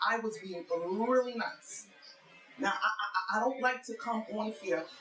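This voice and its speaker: A woman's medium-pitched voice with lively intonation over music in the background. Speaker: YouTuber. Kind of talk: rant.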